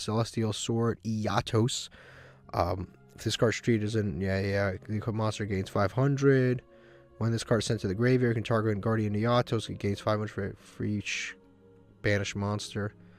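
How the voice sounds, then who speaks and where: A man's voice at a moderate pace, with fairly even intonation and music in the background. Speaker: video game streamer. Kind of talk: gameplay commentary. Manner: monotone; halting.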